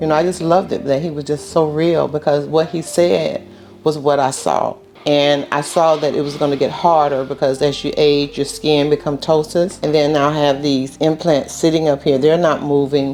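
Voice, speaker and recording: A woman with a very deep, low pitch speaks at a moderate pace in a monotone, flat intonation. Noticeable background noise is present. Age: 60s. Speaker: facelift patient. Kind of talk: casual interview.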